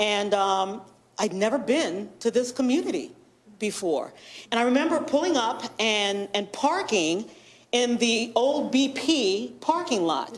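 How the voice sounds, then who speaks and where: At a fairly slow pace, a woman speaks with a fairly high pitch, very wide pitch swings and an animated tone. Audible room echo surrounds her voice. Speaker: journalist and media board member. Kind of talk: public presentation at a meeting. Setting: township board meeting.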